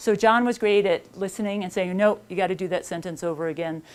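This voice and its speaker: Speaking at a fairly quick pace with ordinary pitch variation, a woman talks in a slight New York accent. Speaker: author. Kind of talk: talk at a seminar. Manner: fast.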